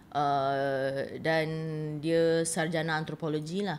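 A woman speaks in a fairly low pitch. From Malaysia, Kuala Lumpur. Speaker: writer and translator. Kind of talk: interview. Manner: halting.

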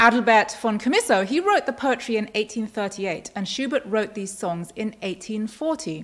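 A woman's voice at a moderate pace, with very wide pitch swings, against a quiet background. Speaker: presenter, speaker. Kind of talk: lecture. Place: hall.

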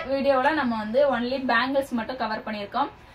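Over light background noise, a woman speaks at a high pitch. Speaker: presenter. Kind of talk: casual vlog chat. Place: shop.

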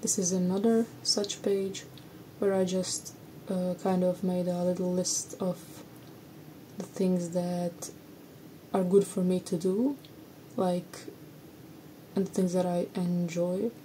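Very slowly, a woman speaks in a monotone, flat intonation with long, frequent pauses over light background noise. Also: medium pitch for a woman. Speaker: art historian and cultural anthropologist. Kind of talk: casual talk to camera. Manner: slow, monotone. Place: home room.

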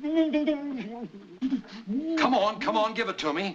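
A man's high, bright and sharp voice with an American accent, very slow, with very wide pitch swings, over light background noise. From United States. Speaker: film actor. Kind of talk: film dialogue. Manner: gentle yet ominous, seldom raised. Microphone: old recording.

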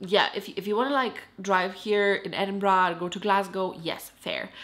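At a fairly slow pace, the woman talks. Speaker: vlogger. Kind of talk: casual vlog chat. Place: home room. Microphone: phone near.

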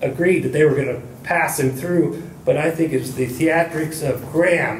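A man's fairly high voice at a moderate pace, with fairly even intonation, audible room echo and light background noise. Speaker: audience member. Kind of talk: audience discussion. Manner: halting. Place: meeting room. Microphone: camera far.

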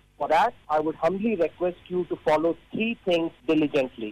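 A man talks in a high pitch at a moderate pace. His pitch variation is ordinary. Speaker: radio newsreader. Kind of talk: formal Urdu regional radio news bulletin read from script. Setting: radio studio. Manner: measured, evenly paced formal delivery; carefully enunciates long strings of numbers.

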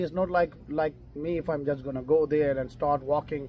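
There is light background noise as a man with a fairly high pitch speaks at a fairly quick pace. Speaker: travel vlogger. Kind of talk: interviewing a hiker on camera. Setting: outdoors. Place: cafe. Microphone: camera far.

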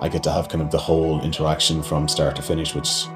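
With clear music in the background, a man talks at a fairly quick pace in a very deep, low pitch. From Ireland. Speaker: cellar-door manager. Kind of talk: interview answer. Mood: calm, positive. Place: shop.

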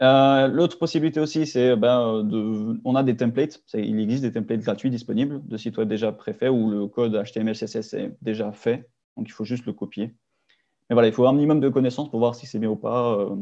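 A man in an ordinary speaking voice, at a moderate pace with ordinary pitch variation over a quiet background. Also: medium pitch for a man. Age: 20s. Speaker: engineering student. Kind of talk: webinar presentation. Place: home room. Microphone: webcam.

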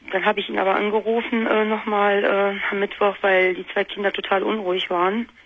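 A woman is talking. Her pace is moderate. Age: 20s. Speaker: caller. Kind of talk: phone-in talk. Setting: phone call. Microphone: phone line.

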